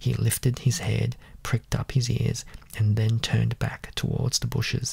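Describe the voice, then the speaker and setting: A soft-spoken man talks with an Australian accent. Noticeable background noise can be heard. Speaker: ASMR reader. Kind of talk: reading aloud.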